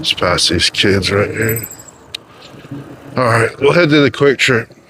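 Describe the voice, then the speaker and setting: Lively intonation carries fairly slow speech over noticeable background noise. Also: man, medium pitch for a man. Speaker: ebike vlogger and streamer. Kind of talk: casual vlog commentary while riding. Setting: outdoors on an ebike. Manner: loud at times.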